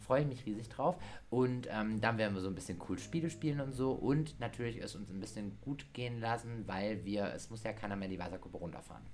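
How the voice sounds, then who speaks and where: With audible room echo, a man speaks fairly quickly in a fairly low pitch, showing ordinary pitch variation. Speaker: podcast host and dance teacher. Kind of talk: casual chat.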